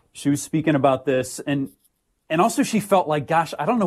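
A man with an American accent, a fairly high pitch and a somewhat breathy voice, his intonation lively, against a quiet background. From US Midwest, St. Louis, Missouri. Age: 40s. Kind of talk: radio interview.

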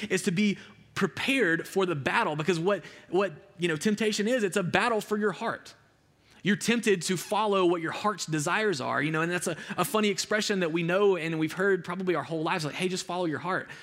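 Talking at a very fast pace with an Alabama accent, a man uses a high pitch and ordinary pitch variation. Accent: US Southern (Alabama). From rural Alabama. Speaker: youth pastor. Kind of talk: sermon. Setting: stage with audience. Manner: casual, conversational with many fillers.

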